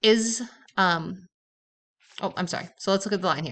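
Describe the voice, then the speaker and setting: A woman's medium-pitched voice with ordinary pitch variation, moderate in pace, against a quiet background. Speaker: math teacher. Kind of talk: tutorial. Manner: casual.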